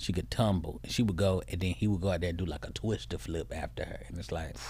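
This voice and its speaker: A man's very deep, low voice with vocal fry and very wide pitch swings, at a fairly quick pace. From Atlanta, Georgia, US South. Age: 30s. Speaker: comedian. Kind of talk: casual chat. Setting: studio. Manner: animated.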